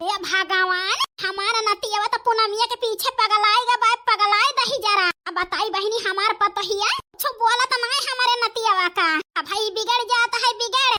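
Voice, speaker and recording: Using a cartoonish character voice, a woman speaks at an extremely high pitch with fairly even intonation. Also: moderate pace. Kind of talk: rustic Awadhi cartoon comedy. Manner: wheedling, scheming.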